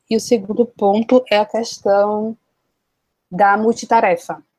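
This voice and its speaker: A woman's fairly high voice unfolds at a very slow speed. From Brazil, interior of Bahia. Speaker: content creator and master's student. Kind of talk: interview.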